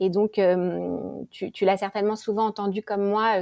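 A woman's dark, mellow voice in a monotone, flat delivery at a moderate pace, with a dry, close sound and no echo. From France, Paris. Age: 40s. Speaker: podcaster. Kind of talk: interview.

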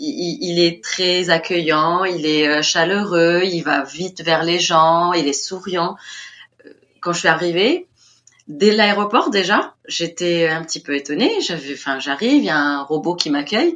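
A voice with ordinary pitch variation, speaking at a very slow pace. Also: woman, fairly low pitch for a woman. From Tunisia, Tunis. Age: 30s. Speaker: teacher at a French school abroad. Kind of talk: interview testimony. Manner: animated.

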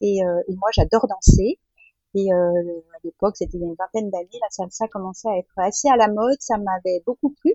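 Using a normal speaking voice, a woman speaks at a medium pitch. Her pace is fairly quick and her pitch variation ordinary. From France. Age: 50s. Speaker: mother planning family life at sea. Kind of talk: interview testimony. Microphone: poor microphone quality.

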